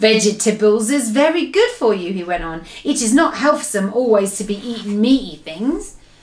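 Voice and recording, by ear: The passage is read aloud in a natural voice.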